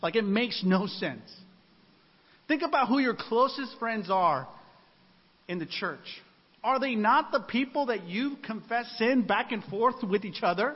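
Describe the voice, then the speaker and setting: With a slight Spanish accent, a man talks in an extremely high voice with lively intonation and long, frequent pauses. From Mexican-American, US. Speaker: preacher. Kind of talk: sermon. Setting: church singles ministry gathering with audience.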